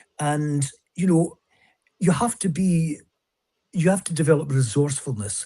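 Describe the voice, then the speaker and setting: With a Scottish accent, a man speaks in a fairly high pitch, his dark, mellow tone carried by lively intonation. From Scotland. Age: 70s. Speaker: author and speaker. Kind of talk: interview conversation.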